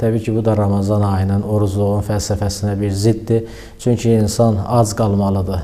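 A man talks at a moderate pace with a fairly low pitch and a monotone, flat intonation over noticeable background noise. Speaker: religious preacher. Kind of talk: religious talk. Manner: hesitant fillers.

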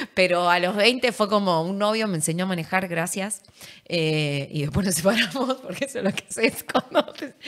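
A woman speaks at a moderate pace with a medium pitch. The background is quiet. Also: lively intonation. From Argentina, Entre Ríos; Argentina. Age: 30s. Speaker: politician. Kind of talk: interview. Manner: animated. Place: studio. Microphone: studio mic.

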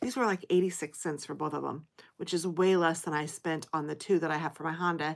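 A woman's fairly low voice moves with ordinary pitch variation. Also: quiet background. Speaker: haul vlogger. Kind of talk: casual vlog chat. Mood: cheerful, amused. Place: home room. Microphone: phone near.

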